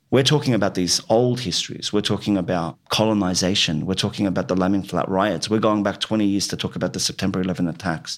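A man with an Australian accent and a fairly low voice speaks very fast with hardly any pauses and ordinary pitch variation, on a very clean recording with a silent background. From Western Sydney, Australia. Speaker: writer and playwright. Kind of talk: interview. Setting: in-person recording in Fairfield.

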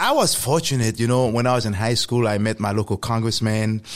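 A man talks fairly quickly in a very clean recording with a silent background. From Haiti. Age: 40s. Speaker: government affairs executive and podcaster. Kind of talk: casual interview. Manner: hesitant, filler-heavy.

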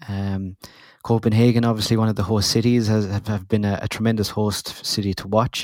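With an Irish accent and fairly low pitch, a man talks at a moderate pace with fairly even intonation in a very clean recording against a silent background. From Ireland. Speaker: football podcast host. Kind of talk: casual chat.

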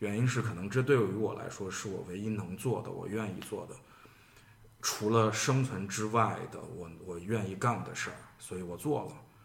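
Audible room echo around a man's fairly low voice with ordinary pitch variation. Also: moderate pace. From Shaanxi, Xi'an. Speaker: artist. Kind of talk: podcast conversation.

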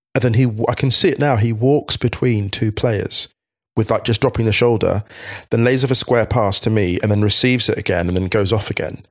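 A man talks at a fairly quick pace in an ordinary speaking voice. His medium pitch shows ordinary variation, and his loudness stays very even. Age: 40s. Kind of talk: casual chat.

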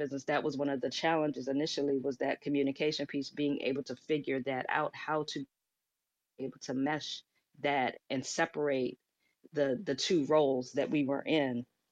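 Against a quiet background, someone talks at a moderate pace with an American accent and monotone, flat intonation. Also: woman. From US, Washington, D.C. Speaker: life and business coach. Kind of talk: casual interview. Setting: live audio room recording.

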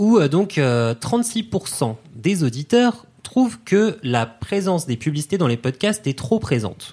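Speaking at a very slow pace, a man with a fairly high pitch and a dark, mellow tone makes very wide pitch swings. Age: 30s. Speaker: podcast company content director. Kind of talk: casual chat.

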